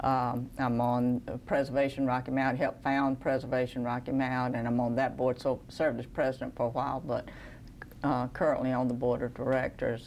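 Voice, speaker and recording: Fairly quick and monotone, the flat delivery comes with a Southern US accent. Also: woman. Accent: Southern American. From US South, Georgia. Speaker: city clerk. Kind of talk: interview.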